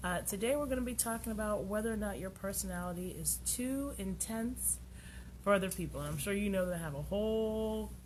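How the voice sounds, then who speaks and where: Fairly brisk female speech with noticeable echo from the room. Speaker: radio show host, tarot reader. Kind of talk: live radio talk show, casual. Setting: radio studio, streamed on Facebook Live. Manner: loud; animated.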